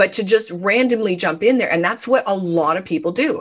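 With ordinary pitch variation, the delivery runs at a fairly quick pace. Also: woman. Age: 50s. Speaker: business coach and speaker. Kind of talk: interview conversation.

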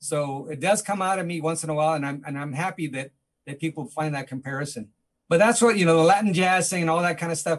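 A man with an American accent talks at a very fast pace, fairly high in pitch, with ordinary pitch variation. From East Los Angeles. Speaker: musician. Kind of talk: interview.

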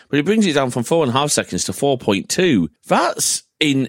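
Speaking with a British accent and vocal fry, a man talks at a moderate pace in a dry, close sound with no echo. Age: 30s. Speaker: podcast host. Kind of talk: casual chat.

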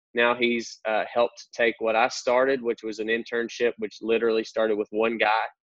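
With a rural Southern US accent, a man speaks at medium pitch and a moderate pace. His intonation is monotone and flat. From North Central Arkansas. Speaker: church pastor. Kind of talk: casual podcast interview.

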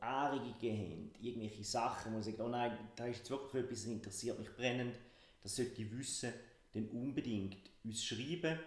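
There is audible room echo around a man's voice. He sounds somewhat breathy, with fairly even intonation. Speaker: business consultant and podcast co-host. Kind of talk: casual podcast chat.

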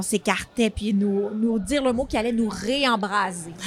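With a Quebec accent, a woman talks at a fairly slow pace in a fairly high pitch, her pitch varying in an ordinary way. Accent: Québécois French. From Quebec, Granby. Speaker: actress. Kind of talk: interview.

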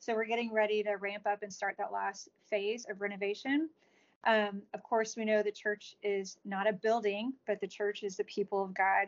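A woman's medium-pitched voice in an American accent, monotone and flat in intonation, at a moderate pace. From Texas, DeSoto. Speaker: adoptive mother and children's author. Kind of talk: interview.

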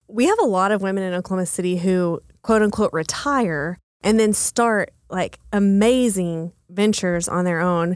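A woman with an American accent speaks at a medium pitch with ordinary pitch variation, a plain, everyday voice on a very clean recording with a silent background. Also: moderate pace. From Texas, small town. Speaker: coworking space founder. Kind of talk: podcast interview.

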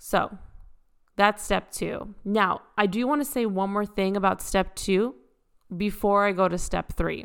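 On a very clean recording with a silent background, a woman speaks at a medium pitch and a fairly slow pace with fairly even intonation. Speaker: podcast host and shop owner. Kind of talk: solo podcast monologue. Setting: recording at home. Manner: casual, chatty.

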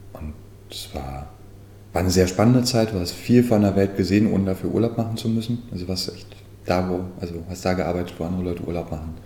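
Audible room echo surrounds a man with a very deep, low pitch. He talks at a very fast pace with ordinary pitch variation. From Saxony-Anhalt, Germany. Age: 30s. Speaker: manor house owner and make-up artist. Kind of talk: guided house tour and interview.

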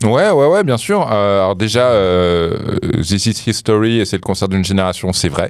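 Speaking at a fairly low pitch, a man goes fairly slowly with ordinary pitch variation and hardly any pauses. His loudness stays very even over noticeable background noise. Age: 30s. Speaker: music specialist. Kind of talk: casual chat. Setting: studio.

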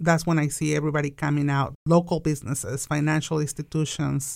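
A woman with a Mexican accent, very deep and low in pitch, flat and monotone at a fairly quick pace. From Mexico. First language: Spanish. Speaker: business owner. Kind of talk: interview. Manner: laughs often.

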